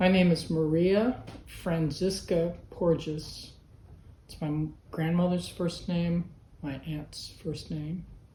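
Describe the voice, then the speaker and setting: A somewhat breathy woman with an American accent speaks very slowly, with a dark, mellow tone and a fairly low pitch. Her intonation is fairly even but her loudness swings widely, with long, frequent pauses and audible room echo. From Berkeley, California, US. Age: 60s. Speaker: artist. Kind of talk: interview answers.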